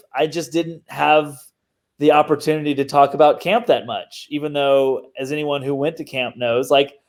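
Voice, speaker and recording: A fairly high-pitched man with a slight Southern US accent, speaking at a moderate pace. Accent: mild Southern US. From US South, Mississippi. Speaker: digital marketer and podcast host. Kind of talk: casual interview chat. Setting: video call.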